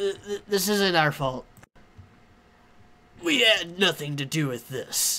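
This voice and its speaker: A man's strained, high-pitched put-on character voice with lively intonation, a very slow pace, and long, frequent pauses. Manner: defensive, panicked.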